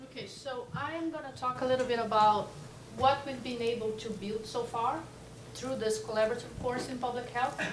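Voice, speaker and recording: Loud and high-pitched, a woman talks at a moderate pace with fairly even intonation, amid audible room echo and noticeable background noise. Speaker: public health professor. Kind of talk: conference presentation.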